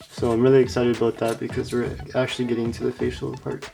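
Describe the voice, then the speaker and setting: A medium-pitched man amid noticeable background noise. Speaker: model kit builder. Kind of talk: tutorial. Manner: casual.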